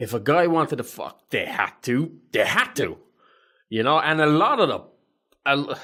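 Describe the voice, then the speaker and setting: Speaking in an Irish accent at a moderate pace, a man uses a bright, sharp, fairly high-pitched voice with very wide pitch swings and long, frequent pauses. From Ireland. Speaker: podcast co-host, army veteran. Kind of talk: casual chat.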